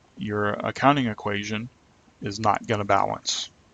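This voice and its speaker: A man's fairly low pitch with vocal fry and fairly even intonation. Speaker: accounting instructor. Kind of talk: lecture. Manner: monotone; fast.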